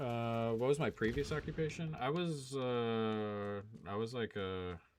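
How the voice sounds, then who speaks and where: A man talks in a normal speaking voice at medium pitch, with ordinary pitch variation. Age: 30s. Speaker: gaming and sports betting streamer. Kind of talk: casual live-stream chat. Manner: casual, filler-heavy.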